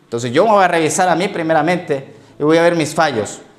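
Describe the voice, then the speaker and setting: A man talks at an unhurried, moderate speed. Noticeable background noise and audible room echo surround him. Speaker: pastor. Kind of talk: sermon.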